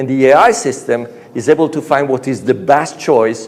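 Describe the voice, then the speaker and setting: A man's fairly high-pitched voice with an Italian accent. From Italy. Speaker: conference speaker, software engineer. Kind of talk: conference talk. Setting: stage with audience. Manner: animated.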